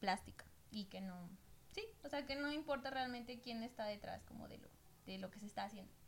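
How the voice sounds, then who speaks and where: A woman speaks with an ordinary speaking voice. Her pitch is fairly high and her intonation fairly even. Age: 20s. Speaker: tattoo artist. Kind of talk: casual chat.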